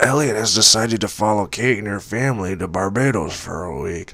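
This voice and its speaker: A raspy, put-on character voice from a man, fairly low in pitch, at a fairly quick pace. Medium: read story. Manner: kindly, polite.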